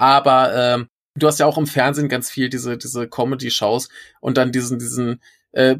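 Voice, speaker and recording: Male voice at medium pitch, monotone and flat, in a very clean recording with a silent background. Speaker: podcaster living abroad. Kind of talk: interview conversation. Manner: hesitant with many fillers.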